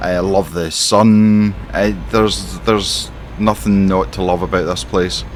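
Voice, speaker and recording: The speaker talks at a fairly slow pace with an Scottish accent and lively intonation. Audible room echo surrounds the voice. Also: man, very deep, low pitch for a man. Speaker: gaming streamer. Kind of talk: roleplay commentary while playing a truck simulator. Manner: animated.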